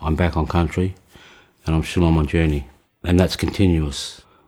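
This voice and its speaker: A man speaks with an Australian accent at a moderate pace. His tone is dark and mellow. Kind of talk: interview testimony. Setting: healing house in rural community. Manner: halting.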